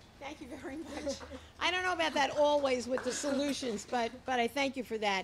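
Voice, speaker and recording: Fairly quick speech with ordinary pitch variation over noticeable background noise. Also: woman, high pitch for a woman. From Long Island, New York. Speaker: town supervisor. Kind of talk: press briefing. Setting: outdoors. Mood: warm, appreciative. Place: hall. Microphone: podium.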